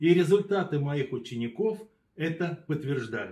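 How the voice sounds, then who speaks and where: A man speaks at a fairly slow pace in a high pitch, his tone dark and mellow. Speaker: yoga teacher. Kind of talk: promotional announcement.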